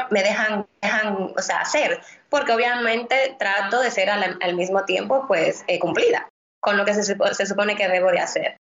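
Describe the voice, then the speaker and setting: A woman's fairly high voice moves at a fairly slow pace, and its pitch varies in an ordinary way. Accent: Dominican. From Dominican Republic, Santo Domingo. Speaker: immigration lawyer. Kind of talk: interview. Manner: halting, many repeated words.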